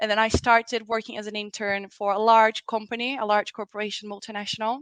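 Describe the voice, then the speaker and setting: A very fast, monotone, flat delivery in a Portuguese accent, with a dry, close sound and no echo. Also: woman, fairly high pitch for a woman. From Brazil. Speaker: diversity consultant. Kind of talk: podcast interview. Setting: remote call.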